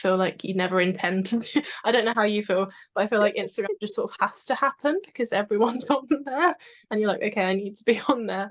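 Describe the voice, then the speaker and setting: Speaking at a very fast pace with a British accent, a woman uses a fairly high pitch with ordinary pitch variation. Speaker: history content creator. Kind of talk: casual interview chat. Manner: quiet, soft-spoken; calm, relaxed.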